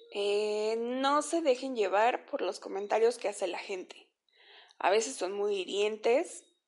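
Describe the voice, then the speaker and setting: Fairly slow speech against a quiet background. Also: woman, fairly high pitch for a woman, ordinary pitch variation. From Mexico, Veracruz. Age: 20s. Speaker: podcaster. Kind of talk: personal testimony monologue. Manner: hesitant, many fillers.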